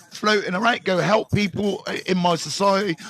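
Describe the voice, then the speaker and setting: A man with a West Country accent speaks loudly at a moderate pace, the sound dry and close with no echo. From Bristol, England. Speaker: recovery mentor. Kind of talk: live stream chat. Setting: live stream. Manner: animated.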